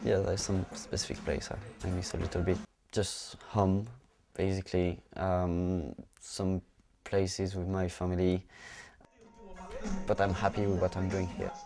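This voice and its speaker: A man with a French accent speaks in a very deep, low pitch and a dark, mellow tone, his flat, monotone delivery moving at a fairly slow pace with long, frequent pauses. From France, Clermont-Ferrand. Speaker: amateur Thai boxer. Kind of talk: documentary interview. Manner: halting.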